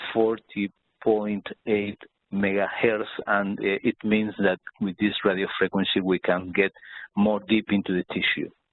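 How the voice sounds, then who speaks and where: A man talks at a fairly slow pace in a fairly low pitch with monotone, flat intonation. His loudness stays very even throughout. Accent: Spanish. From Spain. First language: Spanish. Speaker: doctor. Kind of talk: webinar presentation. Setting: online webinar. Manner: halting.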